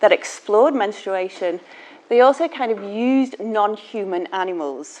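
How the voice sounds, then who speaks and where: A fairly high-pitched woman with a Manchester accent at a fairly slow pace, her pitch swinging very widely over noticeable background noise. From northern England, Manchester. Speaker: class teacher giving a guest lecture. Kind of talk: lecture. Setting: lecture hall with audience.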